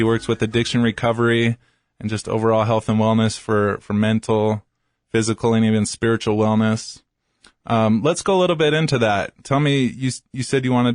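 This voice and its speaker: In a normal speaking voice, a man with an American accent talks at medium pitch with very even loudness, the sound dry and close with no echo and the background quiet. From California (San Diego). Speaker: radio host. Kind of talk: radio interview.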